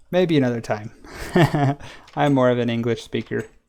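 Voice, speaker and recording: With a Western US accent, a man talks at a medium pitch using lively intonation. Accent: Western American. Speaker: gaming streamer. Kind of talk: live stream gameplay chat. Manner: casual, chatty.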